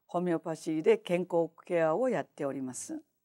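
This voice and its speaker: Against a quiet background, a woman with a fairly low pitch and a dark, mellow tone speaks at a fairly slow pace with very wide pitch swings. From Japan. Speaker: homeopath; lecturer. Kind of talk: lecture. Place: hall.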